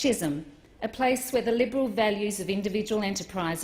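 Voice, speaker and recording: Her pitch shows ordinary variation. The woman has an Australian accent. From Australia (Melbourne area). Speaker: politician. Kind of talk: parliamentary maiden speech. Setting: parliament chamber. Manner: formal.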